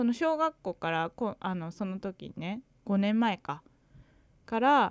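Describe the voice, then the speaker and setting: In a very clean recording with a silent background and a dry, close sound free of echo, a woman speaks at a medium pitch and a very slow pace. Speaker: podcast co-host, English learner. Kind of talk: casual chat.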